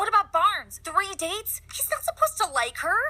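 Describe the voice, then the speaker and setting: Fairly quick and full of very wide pitch swings, the speaker uses a cartoonish character voice. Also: female-sounding voice, extremely high pitch for a woman. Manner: fast, excitable.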